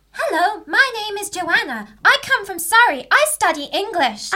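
In a put-on character voice, a female-sounding speaker talks at a moderate pace with extremely high pitch. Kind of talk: comic student radio play. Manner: malfunctioning, shutting down; stiff, mechanical, repetitive.

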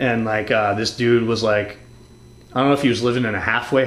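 A man with an American accent speaks at a fairly quick pace in a medium pitch with monotone, flat intonation. Audible room echo and noticeable background noise fill the recording. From Massachusetts (Newburyport). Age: 30s. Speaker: podcast host and skateboarder. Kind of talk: casual chat. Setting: at a friend's home.

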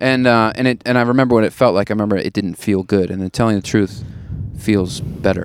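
With an American accent, a man speaks at a very fast pace in a fairly low pitch. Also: fairly even intonation. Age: 30s. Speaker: stand-up comedian. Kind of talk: casual chat. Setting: outdoors.

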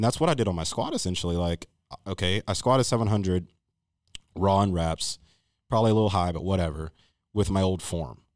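A man's very deep, low voice, very fast yet broken by long, frequent pauses, with ordinary pitch variation in a very clean recording with a silent background. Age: 20s. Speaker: powerlifter. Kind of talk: casual chat.

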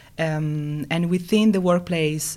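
Speaking in an Italian accent, a woman has a dark, mellow tone. Her intonation is monotone and flat, and her pace fairly slow. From Italy. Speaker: food design consultant. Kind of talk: interview. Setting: studio. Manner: hesitant, many fillers.

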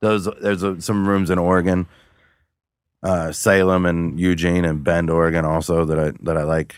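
On a very clean recording with a silent background, a man with a very deep, low voice and an American accent speaks at a moderate pace in a monotone, flat intonation with very even loudness. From Cincinnati, Ohio. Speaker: stand-up comedian. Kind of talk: casual chat. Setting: studio.

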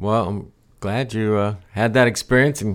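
Recorded very cleanly against a silent background, a man with an ordinary speaking voice talks at a moderate pace with fairly even intonation. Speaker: podcast host. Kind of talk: interview conversation.

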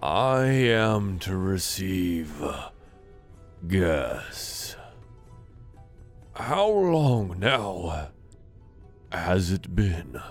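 A man's creaky, put-on character voice at a very deep, low pitch, with a very slow pace, long, frequent pauses and clear music in the background.

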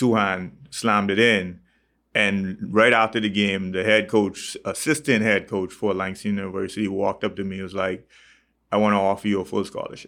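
On a very clean recording with a silent background, a man with a fairly low pitch and a bright, sharp tone speaks at a fairly quick pace in a monotone, flat way. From Bahamas. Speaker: fitness trainer and gym owner. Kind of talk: interview.

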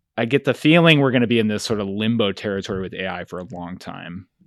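A man talks at a fairly quick pace against a quiet background. He has a normal speaking voice, a fairly low pitch and ordinary pitch variation. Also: big swings in loudness. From Finger Lakes, New York. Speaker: photographic artist and educator. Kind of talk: interview conversation.

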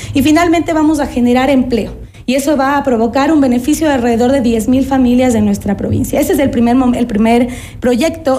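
A woman's high-pitched, fairly quick speech with ordinary pitch variation, plus audible room echo and noticeable background noise. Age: 30s. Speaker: political candidate, lawyer. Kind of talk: radio interview.

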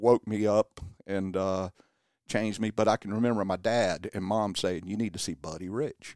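A man with an American accent and an unremarkable speaking voice, fairly low-pitched for a man, with fairly even intonation at a fairly slow pace, on a very clean recording with a silent background and a dry, close sound with no echo. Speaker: local musician, drummer in a band. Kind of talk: casual radio interview. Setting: radio studio.

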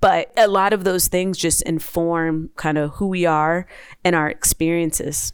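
A woman with an ordinary speaking voice, fairly low in pitch, talks at a fairly slow pace. Her intonation is fairly even, and the recording is very clean with a silent background. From New Jersey, Maplewood. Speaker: transportation official and author. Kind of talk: interview.

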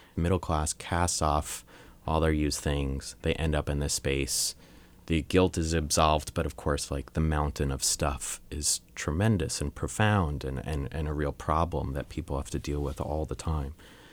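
With an American accent and vocal fry, a man with a very deep, low pitch speaks at a moderate pace and fairly even intonation on a very clean recording with a silent background. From US, Long Island, New York. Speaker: photographer and photography teacher. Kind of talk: interview.

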